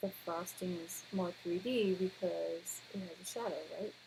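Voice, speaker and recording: Quiet and somewhat breathy, a woman speaks at a fairly slow pace with fairly even intonation, a medium pitch and a dark, mellow tone. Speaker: art teacher. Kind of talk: tutorial.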